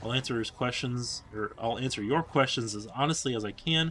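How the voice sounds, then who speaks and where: At a fairly quick pace, a man talks in a bright, sharp tone with a medium pitch and ordinary pitch variation. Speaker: gaming youtuber. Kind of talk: casual vlog monologue over gameplay. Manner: halting, stuttering.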